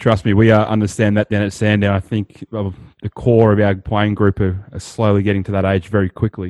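Dry and close with no echo, a man's fairly low voice comes in an Australian accent over a quiet background. He moves at a fairly quick pace with monotone, flat intonation. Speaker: podcast co-host. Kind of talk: casual interview.

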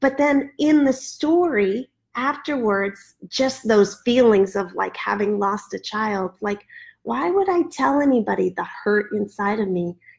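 Somewhat breathy and fairly high in pitch, a woman with an American accent talks at a fairly slow pace with lively intonation, recorded very cleanly over a silent background. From US Midwest. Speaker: ministry leader. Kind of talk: testimony. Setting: livestreamed podcast.

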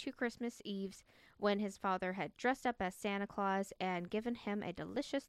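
What you hear is reading in a natural voice.

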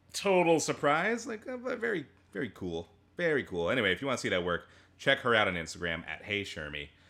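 A man with medium pitch and a bright, sharp tone talks at a very fast pace with vocal fry and very wide pitch swings on a very clean recording with a silent background. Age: 30s. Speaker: podcast co-host. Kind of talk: casual chat.

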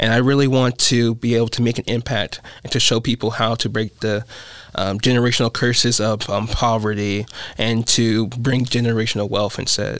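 A man of medium pitch talks at a moderate pace in a flat monotone, keeping his loudness very even. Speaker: college student. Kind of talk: casual chat.

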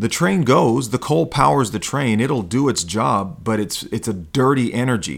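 With vocal fry and lively intonation, a man speaks with hardly any pauses. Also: medium pitch for a man, moderate pace. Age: 40s. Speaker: podcast host, self-help coach. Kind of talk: monologue. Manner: hesitant fillers.

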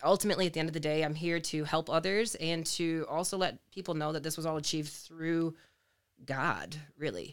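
Over a silent background in a very clean recording, a woman talks in an ordinary speaking voice at a fairly low pitch. Her pace is moderate and her intonation fairly even. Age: 30s. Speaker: fitness enthusiast and former pastor. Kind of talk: casual interview.

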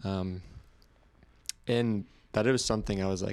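A man's very deep, low-pitched voice with an American accent. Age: 20s. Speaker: graphic designer and skateboarder. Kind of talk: casual chat. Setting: studio.

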